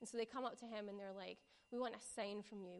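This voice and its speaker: A woman speaks in a fairly high pitch. Her pitch varies an ordinary amount. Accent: strong West Coast Scottish. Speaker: preacher or church youth leader. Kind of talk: sermon. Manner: casual, conversational.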